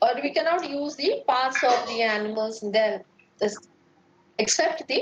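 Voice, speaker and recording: Her voice is high, with lively intonation, at a moderate pace. This woman leaves long, frequent pauses. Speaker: lecturer. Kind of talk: lecture.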